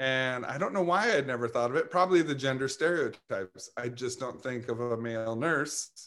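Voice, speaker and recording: With a normal speaking voice, a man talks at a moderate pace, his pitch medium and varying in an ordinary way. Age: 40s. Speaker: nursing student. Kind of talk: casual chat.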